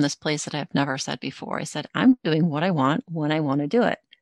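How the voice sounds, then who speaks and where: Dry and close with no echo, a woman's very deep, low voice moves at a fairly quick pace with ordinary pitch variation. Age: 50s. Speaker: author and spiritual mentor. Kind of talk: casual interview.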